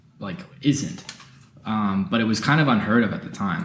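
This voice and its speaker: Fairly low-pitched man at a fairly quick pace, lively intonation, audible room echo. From Canada, Sarnia Ontario. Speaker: podcast co-host. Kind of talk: casual chat. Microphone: poor audio quality.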